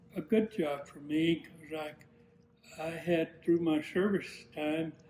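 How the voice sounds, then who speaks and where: The speaker talks at a fairly slow pace in a Southern US accent, with noticeable background noise. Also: man. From US South, Georgia. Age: 80s+. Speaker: retired air force general. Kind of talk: interview testimony. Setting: at home. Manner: halting, many repetitions.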